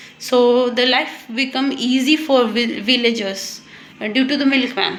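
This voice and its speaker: Noticeable background noise and audible room echo surround a woman speaking with an Indian accent. Her pitch is high, her pace fairly slow, and her intonation fairly even. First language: Hindi. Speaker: English learner vlogger. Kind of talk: casual monologue, speaking practice. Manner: halting, many fillers and restarts.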